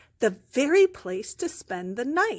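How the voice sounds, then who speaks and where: Putting on a character voice, a woman speaks at a fairly slow pace in a high pitch with very wide swings. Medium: read story. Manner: polite.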